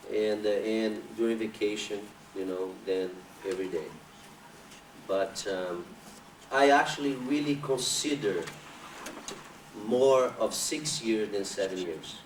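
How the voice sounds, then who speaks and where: A man's fairly slow speech with long, frequent pauses and ordinary pitch variation, amid noticeable background noise and audible room echo. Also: medium pitch for a man. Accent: Brazilian Portuguese. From Brazil. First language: Portuguese. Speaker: capoeira master. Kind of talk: interview. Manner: halting.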